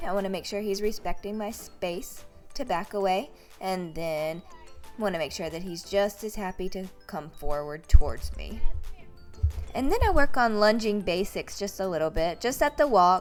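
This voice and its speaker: Music plays in the background as a woman speaks at a moderate pace with lively intonation. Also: medium pitch for a woman. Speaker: horse trainer. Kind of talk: instructional talk to camera.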